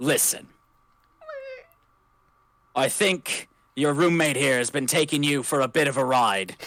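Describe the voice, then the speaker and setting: In a put-on character voice at a low-to-middle pitch, the speaker moves at a moderate pace with long, frequent pauses. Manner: authoritative, calm.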